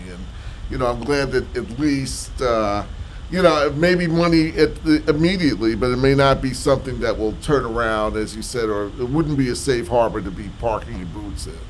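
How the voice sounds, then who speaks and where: Noticeable background noise runs under this recording. A man with an American accent speaks at a moderate pace. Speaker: veteran radio broadcaster and talk show host. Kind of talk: interview host conversation.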